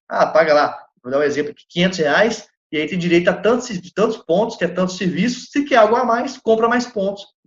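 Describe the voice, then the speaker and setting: A man speaks at a high pitch and a fairly quick pace with ordinary pitch variation. Room echo is audible. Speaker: lecturer on legal entrepreneurship. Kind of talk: lecture. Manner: animated; fast.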